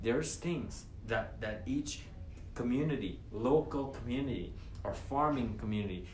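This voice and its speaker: An animated man's voice amid audible room echo and noticeable background noise. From Guyana. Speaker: former trucking company owner, entrepreneur. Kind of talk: motivational monologue. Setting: live stream. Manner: animated, repetitive.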